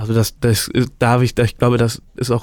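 In a monotone, flat intonation, a man speaks with a medium pitch and a dark, mellow tone. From Germany, Bergisches Land near Cologne. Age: 20s. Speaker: student podcast co-host. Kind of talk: casual chat.

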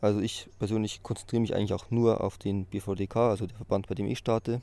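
A man's dark, mellow voice in a flat monotone. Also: very clean recording, silent background. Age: 20s. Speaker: student and powerlifter. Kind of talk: interview.

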